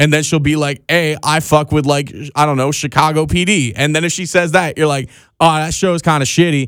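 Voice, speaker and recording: On a very clean recording with a silent background, a man with an ordinary speaking voice and an American accent speaks at a fairly quick pace, with a fairly high pitch and fairly even intonation. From Pennsylvania. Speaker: podcast host. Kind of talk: casual chat. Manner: casual, profane.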